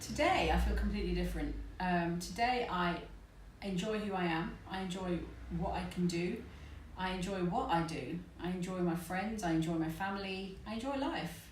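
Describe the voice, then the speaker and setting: A woman with a southern English accent at a moderate pace, with audible room echo and noticeable background noise. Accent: British English (southern England). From England, British Indian. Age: 40s. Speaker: pain and stress therapist. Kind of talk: personal testimony to camera. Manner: hesitant, many fillers.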